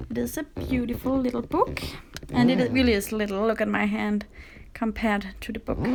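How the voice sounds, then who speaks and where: A woman speaks with a Danish accent at a fairly quick pace. Noticeable background noise sits behind her. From Denmark. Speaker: coloring livestreamer. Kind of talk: livestream chat while coloring. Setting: live stream with camera on tripod.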